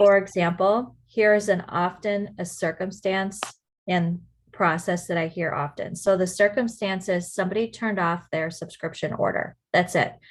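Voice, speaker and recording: Against a quiet background, a woman speaks in a normal speaking voice at medium pitch, with a moderate pace and fairly even intonation. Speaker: network marketing team leader. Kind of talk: team training call.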